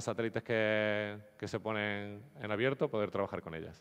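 Against a quiet background, a man talks in a fairly low pitch. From Andalusia, Spain (Nerja, Málaga); Andalusia. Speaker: geospatial software developer; conference speaker. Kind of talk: conference talk. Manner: hesitant, repeats words. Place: hall.

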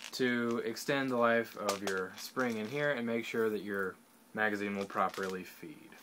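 Ordinary pitch variation marks the man's moderately paced speech, heard through noticeable background noise. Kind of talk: tutorial. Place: home room. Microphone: webcam.

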